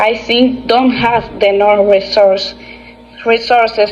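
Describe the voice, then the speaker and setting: A woman speaks in a Dominican accent. Noticeable background noise runs underneath. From Dominican Republic, Constanza. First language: Spanish. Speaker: English language student. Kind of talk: class presentation monologue. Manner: halting, with fillers and self-corrections.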